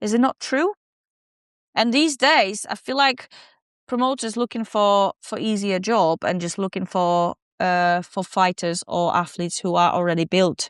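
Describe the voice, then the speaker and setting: The recording has a dry, close sound with no echo. A woman speaks at a moderate pace with lively intonation. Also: quiet background. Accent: Polish. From southern Poland. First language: Polish. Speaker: professional boxer. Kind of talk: podcast interview. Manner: halting.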